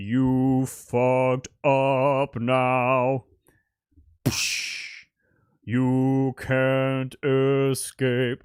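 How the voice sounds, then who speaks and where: In a put-on character voice, the speaker talks at a very slow pace with a low-to-middle pitch and monotone, flat intonation. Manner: menacing.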